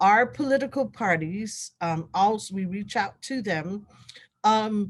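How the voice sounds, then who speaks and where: A woman with a Guamanian accent speaks at a fairly slow pace and a medium pitch. Her voice is somewhat breathy against a quiet background. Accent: Guamanian (Chamorro) English. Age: 60s. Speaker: election official. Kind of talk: interview.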